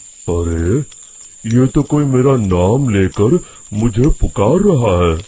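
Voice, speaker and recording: Rumbling put-on character voice from a man, medium in pitch and fairly slow. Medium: cartoon. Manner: grumbling.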